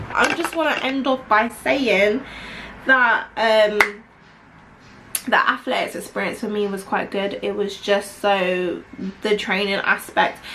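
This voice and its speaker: A very slow, fairly high-pitched woman's voice in a London accent, with long, frequent pauses, ordinary pitch variation, and noticeable background noise. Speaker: vlogger. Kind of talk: casual chat.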